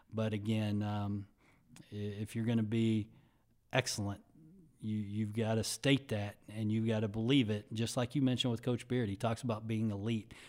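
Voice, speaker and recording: A man with an American accent speaks at a fairly low pitch in a monotone, flat way. The recording is very clean, with a silent background. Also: moderate pace. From Texas (Dallas area, Sherman). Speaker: university athletic director. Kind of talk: interview.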